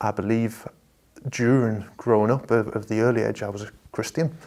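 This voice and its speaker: Here a man talks with an American accent. His pitch is fairly low and his intonation fairly even. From northeast England, Washington (Tyne and Wear). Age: 30s. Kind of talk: testimony. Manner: halting, many repeated words.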